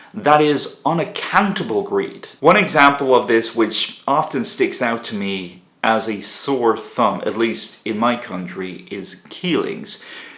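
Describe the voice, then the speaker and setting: A man with an Irish accent speaks at a medium pitch, fairly slowly and with hardly any pauses. His pitch swings very widely. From Ireland. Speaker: political commentator. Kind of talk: monologue. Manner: animated.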